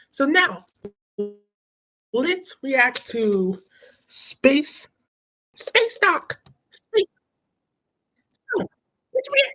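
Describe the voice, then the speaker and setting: A put-on character voice, squeaky and extremely high in pitch, moves at a very slow pace with long, frequent pauses. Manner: squawky.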